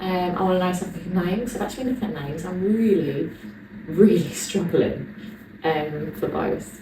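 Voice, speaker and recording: A woman with an English accent talks at a moderate pace and medium pitch with ordinary pitch variation, over noticeable background noise and audible room echo. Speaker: vlogger, personal trainer. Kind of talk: casual vlog to camera.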